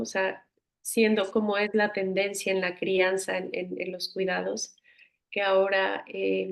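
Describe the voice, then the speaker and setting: The woman's voice sits at a medium pitch. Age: 40s. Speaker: psychotherapist. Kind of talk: casual chat.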